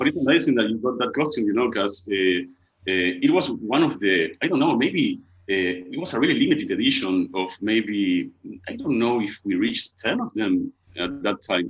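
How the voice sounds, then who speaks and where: A man with an Argentine accent at a moderate pace. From Argentina, Buenos Aires. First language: Spanish. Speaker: costume maker, business owner. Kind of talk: interview. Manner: halting.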